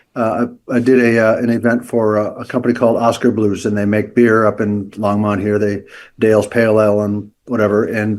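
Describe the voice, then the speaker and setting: Here is a man with a plain, everyday voice at a medium pitch. He speaks at a fairly quick pace on a very clean recording with a silent background. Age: 60s. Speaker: leadership coach and entrepreneur. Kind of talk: podcast interview.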